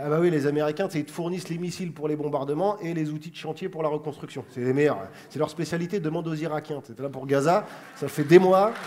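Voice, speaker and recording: Talking at a very fast pace, a man uses a fairly high pitch and fairly even intonation. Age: 30s. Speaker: comedian. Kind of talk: comedy chronicle to camera. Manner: casual, fast.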